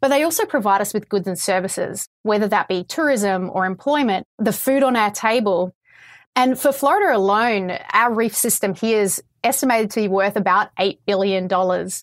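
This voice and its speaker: In a very clean recording with a silent background, a woman with an Australian accent speaks at a moderate pace in a medium pitch with ordinary pitch variation. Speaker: coral restoration scientist. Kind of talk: interview about coral reef restoration. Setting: Florida, Summerlin Key.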